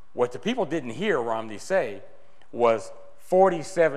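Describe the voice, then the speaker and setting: A man speaks in an animated tone with noticeable background noise behind him. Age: 60s. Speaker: political activist speaker. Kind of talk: speech to a meeting. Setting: meeting with audience.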